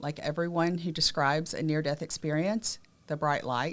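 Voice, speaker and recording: A woman speaks with a Southern US accent. The recording is very clean, and the background is silent. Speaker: abuse survivor and advocate, podcast co-host. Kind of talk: personal testimony in podcast conversation.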